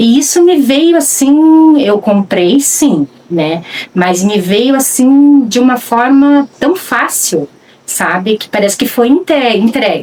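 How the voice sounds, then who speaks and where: Speaking at a very slow pace, a woman uses a high pitch with very wide pitch swings over noticeable background noise. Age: 60s. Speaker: rural land guardian. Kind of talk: documentary interview testimony. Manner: halting, with frequent fillers.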